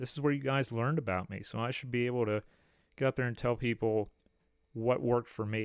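An ordinary speaking voice from a man, medium in pitch, fairly quick, with fairly even intonation, dry and close with no echo, on a very clean recording with a silent background. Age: 30s. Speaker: history podcast host. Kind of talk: solo podcast monologue. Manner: casual, with frequent fillers.

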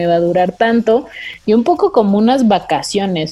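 With music playing behind her, a woman speaks fairly slowly, her pitch varying in an ordinary way. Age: 20s. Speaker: podcast host. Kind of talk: casual chat.

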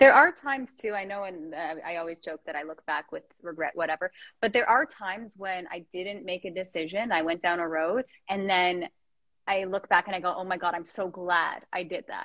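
A woman with an ordinary speaking voice talks at medium pitch and a moderate pace. Her pitch varies in an ordinary way, while her loudness swings widely. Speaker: Instagram live podcast host. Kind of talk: casual chat interview. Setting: Instagram live video chat from childhood home.

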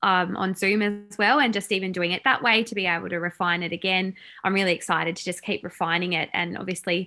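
Speaking with an Australian accent, a woman talks fairly quickly with hardly any pauses, her medium-pitched voice bright and sharp in tone and her intonation fairly even, in a very clean recording with a silent background. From Tasmania, Australia. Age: 30s. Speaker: salon owner and business coach. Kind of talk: casual interview chat.

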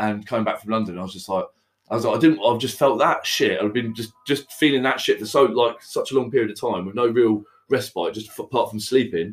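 Medium in pitch, a man's voice moves at a very fast pace. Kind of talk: casual chat. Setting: studio. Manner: loud.

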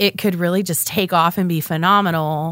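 A woman with an American accent talks at a moderate pace in an unremarkable speaking voice. Her pitch is fairly low, her intonation fairly even, and the recording very clean with a silent background. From Oklahoma. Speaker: economic development director. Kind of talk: casual interview.

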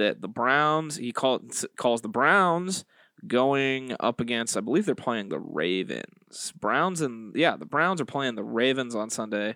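At a fairly slow pace, a man speaks at medium pitch in a bright, sharp tone on a very clean recording with a silent background. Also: lively intonation. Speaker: podcast host, sports betting picks. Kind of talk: casual chat. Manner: animated.

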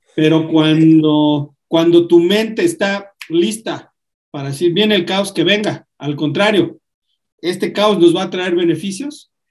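Speaking with a Mexican accent, a man talks at a very slow pace. His pitch is high, with ordinary pitch variation. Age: 40s. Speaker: podcast host, self-help author. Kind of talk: casual chat.

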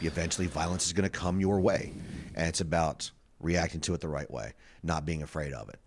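Very deep and low, the man's voice carries vocal fry and ordinary pitch variation. The recording is very clean, with a silent background. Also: fairly quick pace. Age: 40s. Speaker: stand-up comedian. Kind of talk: casual chat.

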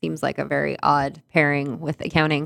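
A woman speaks at a moderate pace. Her very deep, low pitch carries vocal fry. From northern Manitoba, Canada. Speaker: novelist. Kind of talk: interview. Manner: animated.

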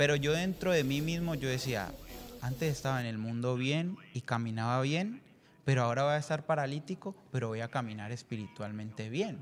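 A man with an unremarkable speaking voice talks at medium pitch with ordinary pitch variation. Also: moderate pace. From Colombia. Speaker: church member. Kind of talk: testimony.

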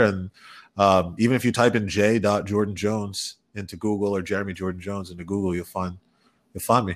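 A man has an ordinary speaking voice with an American accent and a fairly low pitch. He speaks at a fairly quick pace with fairly even intonation. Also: very clean recording, silent background. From New York, Westchester County. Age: 20s. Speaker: tech entrepreneur and rapper. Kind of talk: interview.

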